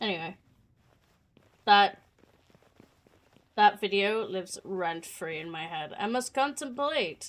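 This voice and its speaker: A woman with a British accent, medium pitch, ordinary pitch variation and a moderate pace. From Canadian.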